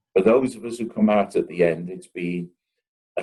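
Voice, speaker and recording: In a Liverpool accent, a man talks at a moderate pace. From northern England, Liverpool. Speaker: company CEO. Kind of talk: interview. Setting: video call. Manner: animated.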